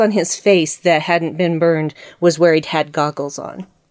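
A woman talks in an unremarkable speaking voice. Her pitch is fairly low. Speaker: podcast guest. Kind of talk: casual podcast discussion.

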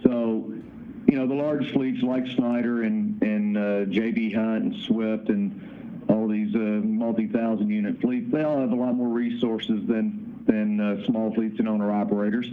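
With a slight Kentucky accent, a man at medium pitch speaks at a fairly slow pace with fairly even intonation. Audible room echo and noticeable background noise fill the recording. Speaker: founder of a trucking owner-operator association. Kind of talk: interview.

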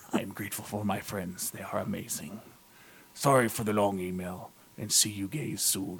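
A man speaks at a moderate pace in a put-on character voice pitched fairly low for a man. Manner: playful, affectionate.

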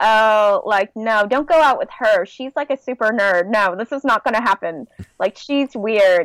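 In a very clean recording with a silent background, a woman with a Californian accent speaks fairly slowly at a fairly high pitch, the sound dry and close with no echo. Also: ordinary pitch variation. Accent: Californian American. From Southern California. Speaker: nerdcore rapper. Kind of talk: casual chat.

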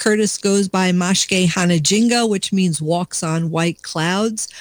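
A woman with an American accent speaks fairly slowly at a medium pitch, with ordinary pitch variation. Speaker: radio co-host. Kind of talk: casual radio chat. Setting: radio studio.

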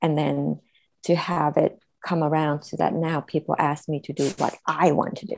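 A woman speaks at a moderate pace with vocal fry. Her very deep, low pitch stays monotone and flat. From Vietnam. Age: 50s. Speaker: photographer and author. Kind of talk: panel discussion.

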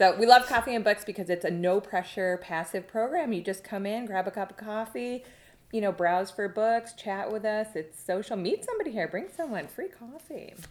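Here is a woman with an unremarkable speaking voice at a medium pitch. Her pace is moderate and her pitch variation ordinary. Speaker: library director and podcast host. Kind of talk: casual chat.

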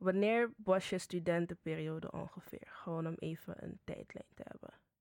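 At a moderate pace, a woman talks in a plain, everyday voice with fairly even intonation, on a very clean recording with a silent background. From Suriname. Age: 20s. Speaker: student interviewer. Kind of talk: interview.

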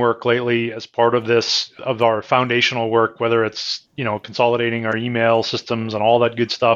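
A medium-pitched male voice with a Canadian accent. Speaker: IT executive. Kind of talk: interview.

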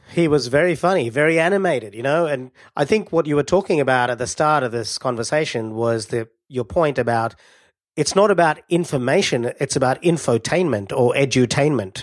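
A man with a normal speaking voice talks at a fairly quick pace, his pitch fairly high and his intonation lively. The recording is very clean, with a silent background. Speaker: podcast host. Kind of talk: casual interview.

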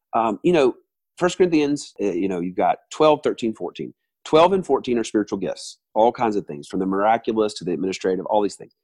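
Against a quiet background, a man with a Southern US accent makes very wide pitch swings in a dry, close sound with no echo. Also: medium pitch for a man, fairly quick pace, big swings in loudness. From US South, Alabama. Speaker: worship leader and musician. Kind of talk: casual interview. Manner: talkative.

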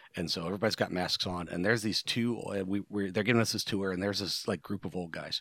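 Speaking at a very fast pace, a man with an American accent keeps a fairly low pitch and fairly even intonation on a very clean recording with a silent background. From US Midwest, Ohio Rust Belt. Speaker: podcast co-host. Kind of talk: casual chat.

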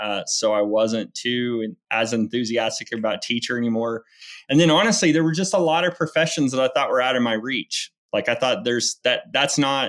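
A man with an American accent, lively intonation and a moderate pace, a plain, everyday voice. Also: medium pitch for a man. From Oklahoma (Enid). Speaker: landman, oil and gas business owner. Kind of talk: podcast interview.

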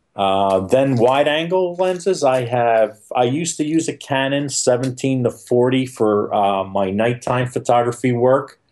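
Talking fairly slowly with hardly any pauses, a man has a normal speaking voice at a medium pitch, with ordinary pitch variation and very even loudness. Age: 50s. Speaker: nature photographer and workshop leader. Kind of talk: casual interview.

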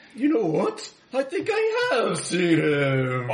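At a fairly slow pace, the speaker performs a put-on character voice. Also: man, high pitch for a man. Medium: actual play.

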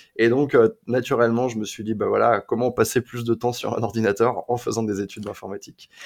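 Fairly quick and monotone with flat intonation, a man speaks at a medium pitch. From France, Sarthe. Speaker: YouTuber and dating coach turned entrepreneur. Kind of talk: interview conversation. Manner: hesitant with repetitions.

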